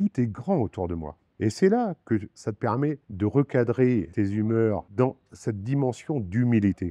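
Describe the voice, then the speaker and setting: With hardly any pauses, a man speaks at a very slow pace with lively intonation, a medium pitch and a dark, mellow tone, in a dry, close sound with no echo. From France. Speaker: winemaker. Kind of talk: interview monologue. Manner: reflective, with hesitations.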